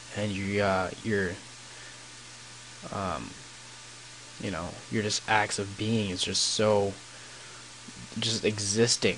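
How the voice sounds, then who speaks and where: A man speaks quietly at a very slow pace, with long, frequent pauses and noticeable background noise. His fairly low voice has monotone, flat intonation. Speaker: gaming YouTuber. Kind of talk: gameplay commentary with storytelling. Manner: halting, many fillers.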